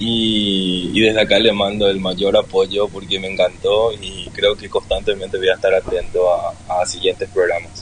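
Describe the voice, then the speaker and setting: With a Paraguayan accent, a man speaks at a moderate pace in a fairly low pitch. His intonation is monotone and flat, and there is noticeable background noise. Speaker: listener calling in. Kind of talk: casual chat. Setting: online live audio space.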